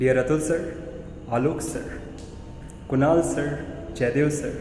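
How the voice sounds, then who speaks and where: With an Indian accent, a man talks at a fairly high pitch with fairly even intonation, amid audible room echo and noticeable background noise. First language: Hindi. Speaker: PhD research scholar. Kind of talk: thank-you speech. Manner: formal.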